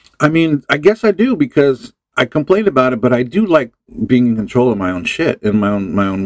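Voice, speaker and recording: A man with a Californian accent talks at a fairly quick pace with lively intonation, recorded dry and close with no echo. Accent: Californian American. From Los Angeles area, California (Hawthorne). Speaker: musician. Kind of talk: casual chat.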